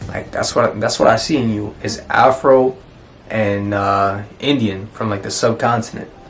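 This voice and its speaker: Noticeable background noise sits behind fairly even intonation delivered at a fairly slow pace. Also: man, medium pitch for a man. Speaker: travel vlogger. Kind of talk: casual chat.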